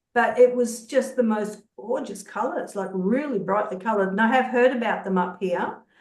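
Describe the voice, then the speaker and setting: With an Australian accent, a woman speaks at a moderate pace in a fairly high pitch with ordinary pitch variation, and room echo is audible. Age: 60s. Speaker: social work researcher, peer support group host. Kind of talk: casual chat. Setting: video call.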